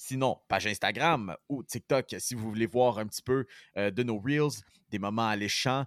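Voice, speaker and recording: A man with a Quebec accent speaks at a moderate pace with medium pitch and ordinary pitch variation. The sound is dry and close with no echo, on a very clean recording with a silent background. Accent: Québécois French. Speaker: sports podcast host. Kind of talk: casual chat.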